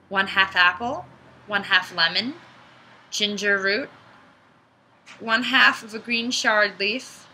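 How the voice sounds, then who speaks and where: Over noticeable background noise, a woman speaks very slowly at a medium pitch, with ordinary pitch variation and long, frequent pauses. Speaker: vlogger. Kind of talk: casual vlog tutorial.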